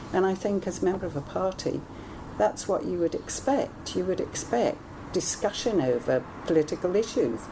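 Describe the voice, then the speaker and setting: Noticeable background noise runs under the voice. The pace is moderate and the intonation lively. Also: woman. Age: 70s. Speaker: party member interviewee. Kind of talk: interview. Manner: halting.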